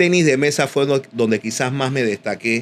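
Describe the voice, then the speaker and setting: A man is speaking in an unremarkable speaking voice. It sits at a medium pitch and varies in an ordinary way. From Panama, Panama City (Río Abajo, Santana). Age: 60s. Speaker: boxing commentator and sports journalist. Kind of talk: casual interview chat.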